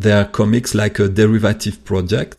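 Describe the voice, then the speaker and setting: Against a quiet background, a man with a French accent talks at a moderate pace in a fairly low pitch. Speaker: comic artist and animator. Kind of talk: interview. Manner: halting.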